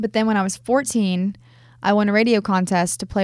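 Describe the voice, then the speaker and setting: Against a silent background in a very clean recording, a woman talks at a fairly quick pace. She has an ordinary speaking voice with medium pitch and ordinary pitch variation. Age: 20s. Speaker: country music artist. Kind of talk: casual interview. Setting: in-person recording in Franklin, Tennessee.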